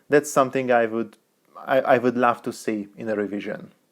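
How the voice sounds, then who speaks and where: A man speaks at a fairly quick pace with a non-native accent. The background is quiet. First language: not English. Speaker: tech reviewer. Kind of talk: product review.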